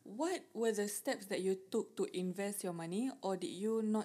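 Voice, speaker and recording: Lively intonation runs through a woman's dark, mellow tone. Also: big swings in loudness. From Singapore. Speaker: podcast host. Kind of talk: casual chat.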